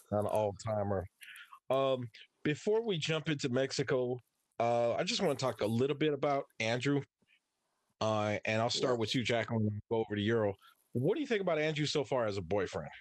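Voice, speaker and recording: A man with a normal speaking voice talks at a fairly quick pace and medium pitch, with lively intonation, very even loudness and a dry, close sound with no echo against a quiet background. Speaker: podcast host. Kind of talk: casual chat about a TV episode.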